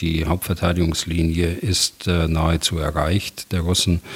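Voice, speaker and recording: A man's very deep, low voice at a very slow pace. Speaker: retired general, military expert. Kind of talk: expert interview.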